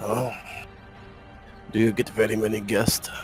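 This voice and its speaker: In a put-on character voice, a raspy speaker talks at a moderate pace with flat, monotone intonation while clear music plays in the background. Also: man, medium pitch for a man. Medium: actual play. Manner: insistent, jovial.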